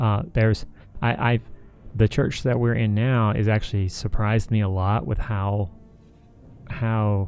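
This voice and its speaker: Over background music, a man with a fairly low pitch and fairly even intonation talks at a fairly slow pace with long, frequent pauses and very even loudness. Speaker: live stream co-host. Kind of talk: casual chat.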